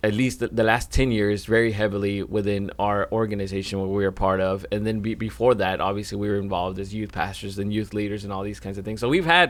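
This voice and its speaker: An ordinary speaking voice from a man, fairly low in pitch, with fairly even intonation at a fairly quick pace. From Mexico, raised in US from young child. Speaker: podcast co-host, church minister. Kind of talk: casual chat.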